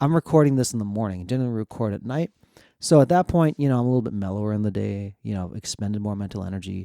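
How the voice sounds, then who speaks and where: On a very clean recording with a silent background and a dry, close sound with no echo, a man with a dark, mellow tone talks at a very fast pace with lively intonation. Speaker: podcast host. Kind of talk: solo podcast monologue. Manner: faster than normal.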